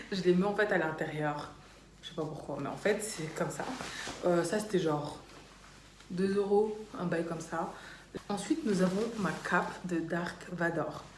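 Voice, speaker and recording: Amid audible room echo and noticeable background noise, a woman speaks fairly slowly with fairly even intonation and long, frequent pauses. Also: fairly low pitch for a woman. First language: Dutch (speaking French). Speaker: YouTuber. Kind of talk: casual vlog chat.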